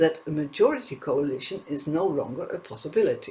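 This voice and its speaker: Talking at a moderate pace with lively intonation, a man speaks with a non-native accent. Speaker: political news commentator. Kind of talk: news commentary.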